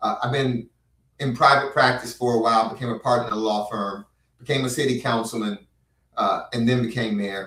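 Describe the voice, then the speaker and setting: At a fairly quick pace, a man with a medium pitch speaks in a bright, sharp tone with fairly even intonation. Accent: American. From South Florida (Miami Gardens). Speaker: county commissioner and former mayor. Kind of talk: casual talk show interview.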